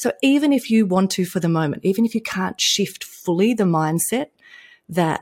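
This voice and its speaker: A somewhat breathy woman with an Australian accent speaks at a medium pitch and moderate pace, the sound dry and close with no echo. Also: very clean recording, silent background. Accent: Australian, noticeable. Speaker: entrepreneur, impact investor and coach. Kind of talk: interview, business conversation.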